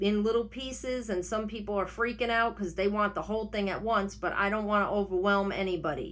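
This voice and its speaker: At a moderate pace, a woman with a New York accent speaks at a medium pitch with fairly even intonation. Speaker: online reseller vlogger. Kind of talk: casual vlog tutorial. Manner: unedited, rambling self-corrections.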